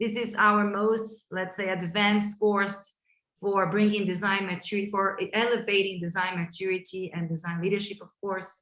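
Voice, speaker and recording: Speaking at a moderate pace in a Brazilian Portuguese accent, a woman has a medium pitch, monotone, flat intonation and big swings in loudness. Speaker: chief design officer hosting a webinar. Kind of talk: webinar introduction. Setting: online webinar.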